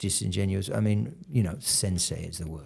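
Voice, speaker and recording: A man with a British accent talks at a moderate pace and a fairly low pitch. His voice has vocal fry and ordinary pitch variation. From UK. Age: 60s. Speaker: karate instructor. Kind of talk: casual chat. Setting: studio.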